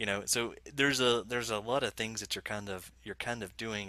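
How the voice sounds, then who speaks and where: A man with an Alabama accent, fairly low in pitch, in a bright, sharp tone, with a dry sound and no echo. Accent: Southern US (Alabama). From Alabama, US South. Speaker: software developer evangelist; guest. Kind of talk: casual interview chat. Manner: halting, many fillers and repeats. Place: home room.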